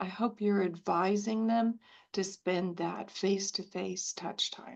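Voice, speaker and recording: At a fairly slow pace, a woman talks with an ordinary speaking voice and ordinary pitch variation. The background is quiet. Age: 60s. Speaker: cancer survivor, webinar attendee. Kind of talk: audience question.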